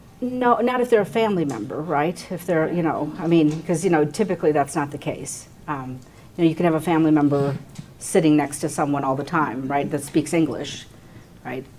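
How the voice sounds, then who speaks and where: A woman talks at a fairly quick pace with lively intonation. Noticeable background noise is present. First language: not English. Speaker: attorney. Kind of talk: panel Q&A discussion. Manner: conversational, many fillers.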